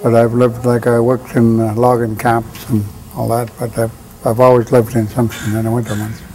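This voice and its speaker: Over noticeable background noise, a man speaks at a moderate pace in a flat, monotone way. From northern British Columbia coast, First Nations. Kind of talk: oral history interview. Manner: halting, many fillers.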